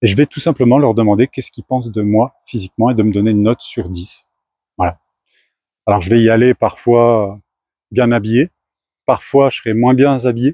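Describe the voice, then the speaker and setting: The voice has a dark, mellow tone and moves at a fairly quick pace with long, frequent pauses. The recording is very clean, with a silent background and a dry, close sound with no echo. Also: man, medium pitch for a man, ordinary pitch variation. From France. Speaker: startup founder. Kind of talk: casual talk to camera.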